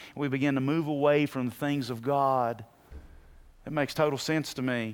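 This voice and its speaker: A man with an unremarkable speaking voice at a medium pitch and moderate pace, his intonation fairly even, on a very clean recording with a silent background. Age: 50s. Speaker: pastor. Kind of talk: sermon. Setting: church.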